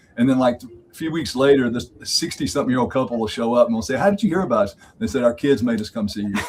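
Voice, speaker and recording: Over noticeable background noise, a man races along at a very fast pace, his medium-pitched voice full of lively intonation. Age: 60s. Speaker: marriage mentor. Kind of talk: podcast interview.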